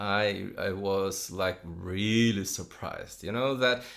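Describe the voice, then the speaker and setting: Ordinary pitch variation in a voice with a non-native accent. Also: man. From Brazil, São Paulo. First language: Portuguese. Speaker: enneagram teacher. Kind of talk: podcast conversation. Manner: hesitant, many fillers.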